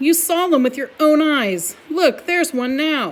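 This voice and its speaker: Using a put-on character voice, a woman speaks at a high pitch and a moderate pace with lively intonation. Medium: read story. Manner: theatrical, sly.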